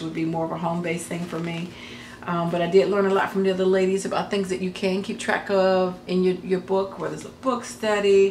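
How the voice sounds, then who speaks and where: A woman at medium pitch talking very fast, with audible room echo and noticeable background noise. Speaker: crafting YouTuber. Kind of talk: casual vlog talk. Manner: halting, many fillers.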